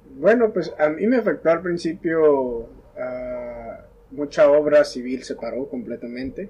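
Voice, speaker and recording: Over noticeable background noise, a man's fairly high voice shows big swings in loudness. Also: lively intonation. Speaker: coffee entrepreneur. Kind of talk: casual chat.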